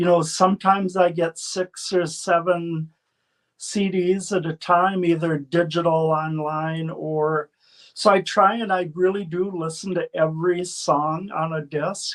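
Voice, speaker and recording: In an American accent, a man with a high voice talks at a fairly slow pace with monotone, flat intonation. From Minnesota / North Dakota area, US Upper Midwest. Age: 60s. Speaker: blues radio show host and promoter. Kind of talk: interview. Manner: casual, conversational.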